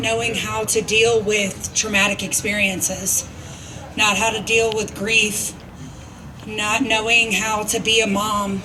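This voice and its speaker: A monotone, flat delivery at a fairly slow pace, with audible room echo and noticeable background noise. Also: woman. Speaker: recovering addict. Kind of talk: testimony. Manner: loud.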